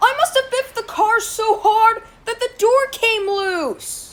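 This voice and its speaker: An extremely high-pitched put-on character voice at a fairly slow pace. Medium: dub. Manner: cheerful, later sorry.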